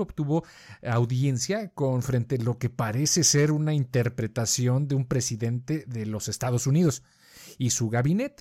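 The voice is somewhat breathy, with a dark, mellow tone. It moves at a moderate pace on a very clean recording with a silent background. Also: man. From Colombia. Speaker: podcast co-host. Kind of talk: casual chat.

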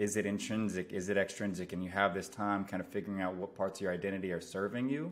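A very fast, fairly low-pitched male voice with an American accent, fairly even intonation and hardly any pauses. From US West Coast, San Francisco Bay Area. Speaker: performance coach, former baseball player. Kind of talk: interview conversation. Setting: video call.

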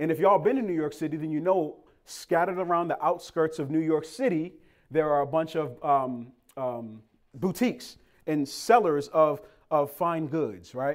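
A man with an American accent talks at a moderate pace in a fairly high voice with ordinary pitch variation, in a very clean recording over a silent background. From Boston, Massachusetts. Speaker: pastor. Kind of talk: sermon. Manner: animated.

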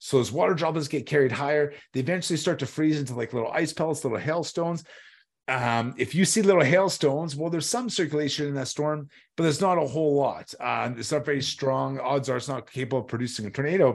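Talking at a very fast pace with a Canadian Prairies accent, a man uses a fairly high pitch and ordinary pitch variation. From Saskatchewan, Canada. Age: 30s. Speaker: storm chaser. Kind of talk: podcast interview. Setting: remote call.

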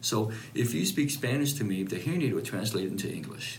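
With noticeable background noise, a man at medium pitch speaks at a fairly quick pace with very wide pitch swings. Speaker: hearing specialist. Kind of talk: explanatory consultation. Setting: clinic.

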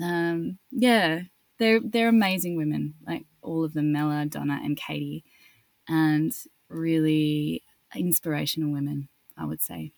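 A woman's very deep, low pitch at a fairly slow pace, with ordinary pitch variation and a dry, close sound with no echo. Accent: Australian. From Australia. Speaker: actress. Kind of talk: interview.

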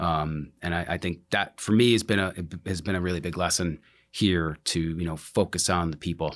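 A man speaks at a very deep, low pitch with fairly even intonation. The recording is very clean, with a silent background. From New Jersey. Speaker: utilities director. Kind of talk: interview conversation.

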